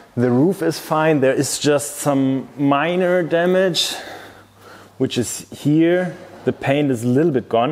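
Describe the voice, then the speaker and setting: Over noticeable background noise, a man speaks very slowly at a very even loudness. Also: fairly high pitch for a man, ordinary pitch variation. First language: German. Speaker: car youtuber. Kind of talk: vlog walkthrough.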